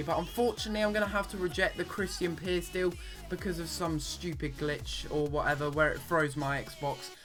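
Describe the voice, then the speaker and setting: A man speaks at a fairly quick pace as music plays in the background. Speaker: gaming commentator. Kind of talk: gameplay commentary. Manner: casual, chatty.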